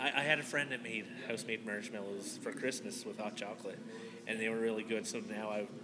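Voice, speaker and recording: A man talks at a medium pitch while noticeable noise sits in the background. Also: fairly quick pace. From Nova Scotia, Canada. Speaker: podcast host. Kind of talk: casual interview chat. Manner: enthusiastic.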